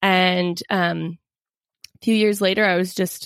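In an ordinary speaking voice with an American accent and fairly even intonation, the speaker is heard in a very clean recording with a silent background and a dry, close sound with no echo. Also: woman. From US Pacific Northwest, Seattle area. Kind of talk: interview.

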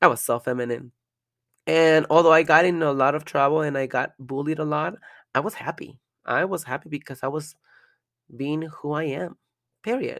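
A woman with a Spanish accent speaks in a very deep, low pitch with ordinary pitch variation. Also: moderate pace, very clean recording, silent background. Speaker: podcaster and adult performer. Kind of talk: casual monologue; reading aloud a personal letter.

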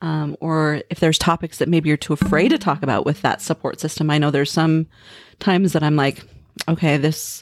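A woman with an American accent, very deep and low in pitch, with ordinary pitch variation, a moderate pace and a dry, close sound with no echo. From Montana, small town. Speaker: podcast host. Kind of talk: casual chat. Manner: animated.

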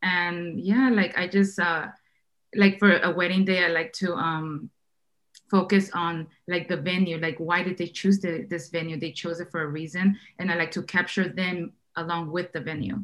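Using a normal speaking voice, a woman with fairly low pitch talks at a moderate pace with fairly even intonation. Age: 30s. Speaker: wedding photographer. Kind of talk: casual chat.

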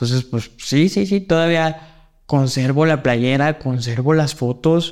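A man with a fairly high pitch talks at a very slow pace. His loudness is very even, and he hardly pauses. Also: ordinary pitch variation. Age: 30s. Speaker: wheelchair basketball player and coach. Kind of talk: interview.

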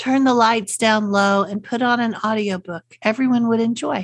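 Somewhat breathy, a woman speaks at a fairly high pitch with a Texas accent. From Central Texas. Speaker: podcast host, unschooling parent. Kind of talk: solo podcast talk. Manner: friendly, conversational.

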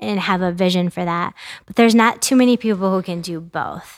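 A woman with an American accent has an unremarkable speaking voice at medium pitch, moving at a moderate pace with fairly even intonation. The sound is dry and close with no echo, on a very clean recording with a silent background. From US Midwest, mid-Michigan. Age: 40s. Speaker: immigrant rights advocate and attorney. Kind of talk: interview conversation.

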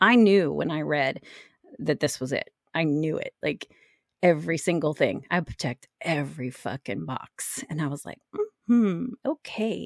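A woman's very deep, low-pitched voice with vocal fry, an animated tone, very wide pitch swings and a fairly slow pace. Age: 50s. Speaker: podcast host and ADHD mentor for women entrepreneurs. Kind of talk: solo podcast monologue.

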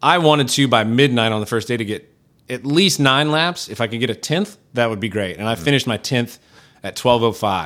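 Lively intonation runs through an unremarkable speaking voice delivered at a moderate speed. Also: man. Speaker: entrepreneur and endurance athlete. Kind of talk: casual interview chat.

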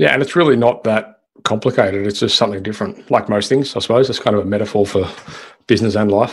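Fairly low in pitch with ordinary pitch variation, a man speaks at a very fast pace. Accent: Australian. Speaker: podcast host. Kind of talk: interview conversation.

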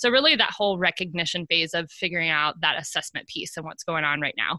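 Her bright, sharp tone and fairly low pitch come through in a very clean recording with a silent background, as this woman speaks with an American accent. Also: dry, close sound with no echo. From US Midwest (central Ohio). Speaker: productivity consultant. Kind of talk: podcast interview. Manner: casual, laughs often.

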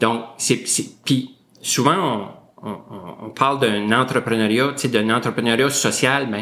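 A man speaks at a fairly slow pace in a medium pitch, his tone bright and sharp, with ordinary pitch variation. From northwestern New Brunswick, Canada (Saint-André, near Grand-Sault). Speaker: school district director. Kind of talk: interview.

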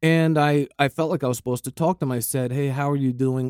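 An unremarkable speaking voice from a man at a fairly quick pace, fairly even intonation, on a very clean recording with a silent background. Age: 50s. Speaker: podcast co-host. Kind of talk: casual chat.

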